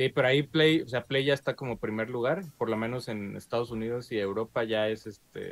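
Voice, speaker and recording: A man's fairly quick speech in a Mexican accent, with ordinary pitch variation and hardly any pauses. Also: medium pitch for a man. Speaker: video game podcast host. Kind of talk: casual chat.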